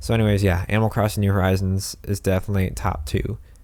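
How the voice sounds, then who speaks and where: Speaking very fast with fairly even intonation, a man with a fairly low pitch is heard over music in the background. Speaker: gaming YouTuber. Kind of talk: casual video commentary. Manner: monotone; hesitant, many fillers.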